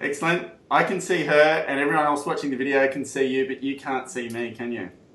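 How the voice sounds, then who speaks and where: There is noticeable background noise as a man with a fairly high pitch talks at a fairly quick pace with ordinary pitch variation. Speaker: real estate coach and interviewer. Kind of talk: interviewer questions.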